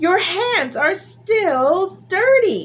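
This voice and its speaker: This woman puts on a character voice pitched extremely high. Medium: read story.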